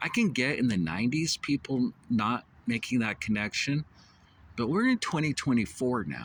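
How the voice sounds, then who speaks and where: The speech comes at a moderate pace with vocal fry. The recording is very clean, with a silent background. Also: man. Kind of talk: casual talk to camera. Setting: outdoors, traffic noise. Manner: hesitant, many filler words.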